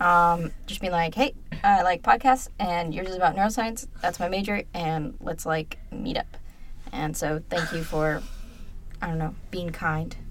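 A woman's fairly low, fairly slow voice with ordinary pitch variation, an unremarkable speaking voice. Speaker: student podcast co-host. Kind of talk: casual chat.

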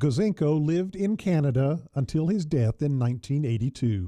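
A man talks with lively intonation at a fairly high pitch. His tone is dark and mellow. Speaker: radio host. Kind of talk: history documentary narration. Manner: formal; measured, even-paced.

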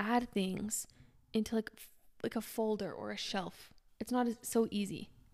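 Recorded very cleanly with a silent background, a woman speaks at a moderate pace and a fairly high pitch, with ordinary pitch variation. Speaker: podcast host. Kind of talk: casual chat.

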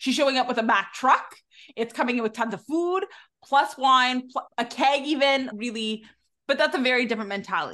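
Raised and projected, a woman's high-pitched voice with a bright, sharp tone moves at a fairly quick pace with ordinary pitch variation. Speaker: podcast host. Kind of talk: casual chat.

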